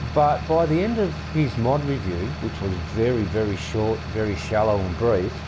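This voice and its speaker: A man with an Australian accent and a fairly low pitch speaks at a moderate pace with very wide pitch swings, amid noticeable background noise and audible room echo. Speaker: gaming streamer. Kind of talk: casual gameplay commentary. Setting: home, windows open.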